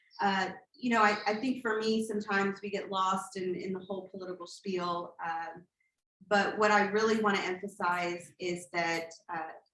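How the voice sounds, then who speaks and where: With audible room echo, a woman speaks at a moderate pace in a medium pitch and fairly even intonation. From Texas, Katy (Houston area), born in Colombia. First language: Spanish. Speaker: political candidate, attorney. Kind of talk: campaign speech. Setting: community meeting in a church, also on Zoom.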